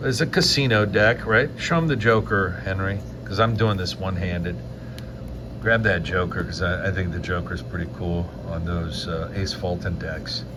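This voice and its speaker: Lively intonation marks this man's very deep, low voice at a moderate pace. Noticeable background noise and audible room echo surround him. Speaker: magician and mentalist. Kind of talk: casual chat. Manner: loud, projecting.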